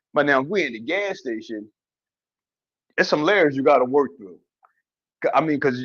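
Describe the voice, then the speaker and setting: A man's fairly high voice moves at a moderate pace with lively intonation. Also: quiet background. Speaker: podcast co-host. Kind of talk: casual chat.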